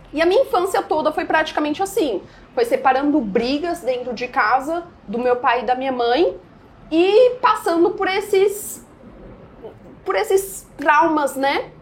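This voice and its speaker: A high-pitched woman at a fairly slow pace, with very wide pitch swings, long and frequent pauses, and noticeable background noise. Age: 20s. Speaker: day trader. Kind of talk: podcast interview.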